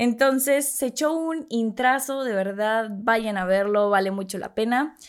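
A woman speaks in a fairly high pitch at a fairly slow pace on a very clean recording with a silent background. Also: ordinary pitch variation. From Mexico City. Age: 20s. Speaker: podcast host. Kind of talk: casual monologue. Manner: animated.

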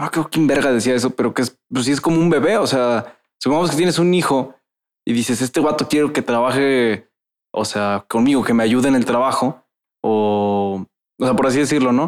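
A man with a normal speaking voice at medium pitch, ordinary pitch variation, very even loudness, and a moderate pace. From Veracruz, Mexico. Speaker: podcast host. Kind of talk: casual chat. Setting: studio. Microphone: echo in the room.

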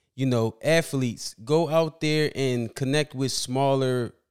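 Here is a man with a normal speaking voice and an American accent. His pitch is medium, with ordinary pitch variation. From Philadelphia, US. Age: 30s. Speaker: basketball fan guest. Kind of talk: casual chat.

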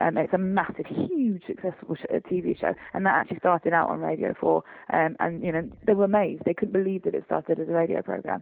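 Speaking very fast, a woman talks with an English accent. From England. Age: 20s. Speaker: voice actor and theater company founder. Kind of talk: interview.

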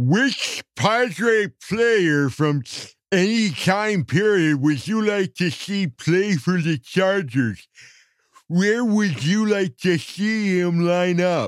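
The speaker uses a put-on character voice. The pace is very slow. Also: man, high pitch for a man. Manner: slurping saliva, intermittent pauses.

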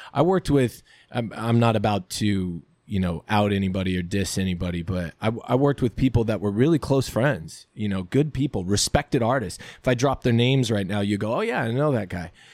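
A fairly quick man's voice, a normal speaking voice pitched fairly low with ordinary variation, on a very clean recording with a silent background. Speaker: writer and actor. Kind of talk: casual interview chat. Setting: studio. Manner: joking, laughs often.

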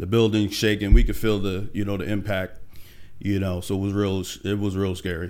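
A man with an American accent speaks at a fairly quick pace, fairly low in pitch, with monotone, flat intonation. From Pennsylvania (Allentown). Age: 40s. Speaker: tech professional. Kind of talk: interview.

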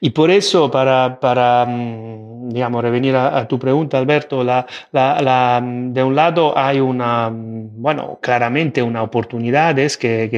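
Against a quiet background, a man with an Italian accent speaks at a fairly slow pace and medium pitch. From Italy. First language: Italian (speaking Spanish). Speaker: AI and digital governance expert. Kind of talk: interview. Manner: halting, many fillers and repetitions.

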